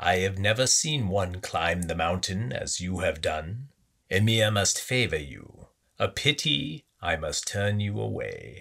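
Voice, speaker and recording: A man uses a put-on character voice, croaky and growling, at a fairly low pitch. The recording is very clean, with a silent background. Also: fairly slow pace. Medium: read story. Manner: sly, threatening.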